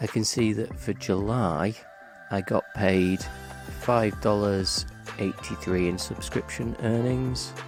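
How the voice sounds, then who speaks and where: Music plays in the background behind a man's voice. He speaks fairly slowly with a very deep, low pitch. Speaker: music composer and YouTuber. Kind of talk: casual tutorial talk to camera.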